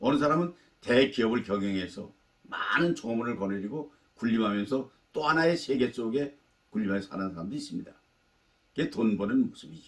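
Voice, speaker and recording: This man's voice has a medium pitch and very wide pitch swings. He talks at a fairly quick pace. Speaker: life-advice YouTuber. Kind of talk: talk to camera, life lecture.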